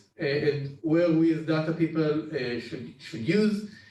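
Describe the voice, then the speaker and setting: In a room with audible echo, a man with a fairly high pitch and ordinary pitch variation speaks at a fairly slow pace. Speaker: data team lead. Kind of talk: internal training presentation. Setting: Zoom session. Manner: halting, many fillers.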